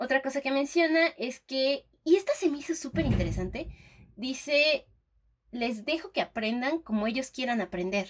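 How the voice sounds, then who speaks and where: A woman with a high pitch talks with lively intonation at a moderate pace. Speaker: podcast co-host, teacher. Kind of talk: casual chat. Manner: animated.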